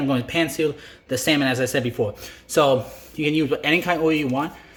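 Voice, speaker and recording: Against noticeable background noise, this man speaks at a very fast pace with a fairly high pitch. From Greece. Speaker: chef. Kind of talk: cooking tutorial. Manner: halting, many fillers and restarts; casual, chatty.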